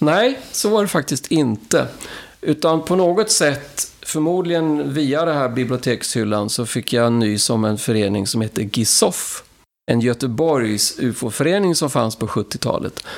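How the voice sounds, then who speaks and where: A normal speaking voice moves along at a fairly slow pace. The intonation is lively. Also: man, fairly high pitch for a man. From Sweden, Karlstad (Värmland). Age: 60s. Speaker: engineer, member of a ufo association. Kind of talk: interview.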